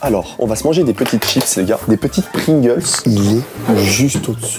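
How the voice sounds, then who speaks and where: Music plays in the background as a man speaks at medium pitch with very wide pitch swings. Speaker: YouTuber hiding in a secret room. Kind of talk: live commentary.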